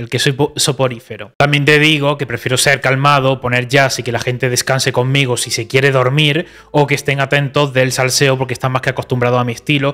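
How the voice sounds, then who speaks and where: Against a quiet background, a man with a medium-pitched voice talks at a fairly quick pace, with hardly any pauses and monotone, flat intonation. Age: 20s. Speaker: YouTuber. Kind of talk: reaction commentary. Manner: calm. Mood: calm but critical, reproachful. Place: studio. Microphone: studio mic.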